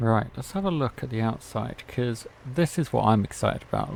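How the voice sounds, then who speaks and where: Lively intonation from a man with a British accent, medium-pitched and at a moderate pace. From Britain. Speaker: gaming YouTuber. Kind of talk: gameplay commentary. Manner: casual.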